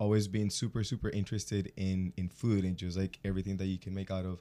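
A man talks at a very fast pace in a very deep, low voice with a dark, mellow tone and flat, monotone intonation. The recording is very clean, with a silent background. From Colombia. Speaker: podcast co-host. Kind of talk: casual chat.

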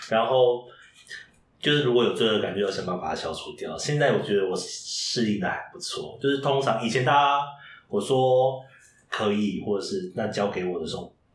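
Noticeable background noise and audible room echo accompany a man speaking at a medium pitch and moderate pace with lively intonation. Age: 30s. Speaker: drag queen who reads picture books to children. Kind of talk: interview.

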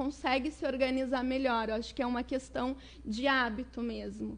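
The background is quiet. A woman speaks at a high pitch with fairly even intonation. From Southern Brazil, Porto Alegre. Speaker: educator and children's author. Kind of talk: interview.

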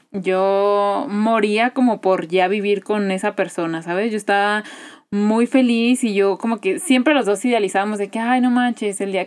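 A woman with a normal speaking voice talks fairly slowly at a medium pitch, with ordinary pitch variation. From Guadalajara, Mexico. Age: 20s. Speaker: business administrator and podcaster. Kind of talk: casual chat.

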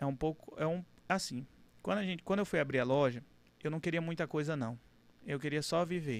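Speaking at a fairly quick pace but with long, frequent pauses, a man uses a fairly high pitch and ordinary pitch variation. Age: 20s. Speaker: car dealership owner. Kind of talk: casual interview.

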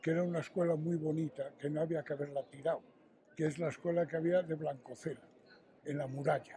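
At a moderate pace, a man speaks in a high pitch. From Spain, Astorga (León). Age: 70s. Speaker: tapestry artisan. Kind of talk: interview.

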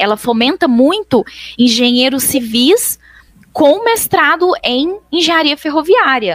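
Her pitch high and swinging very widely, a woman talks at a very slow pace. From Brazil, Minas Gerais. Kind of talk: interview.

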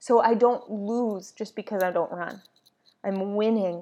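A woman's medium-pitched voice, dark and mellow in tone, with ordinary pitch variation. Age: 30s. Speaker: podcast host, yoga instructor and doula. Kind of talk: casual solo podcast monologue.

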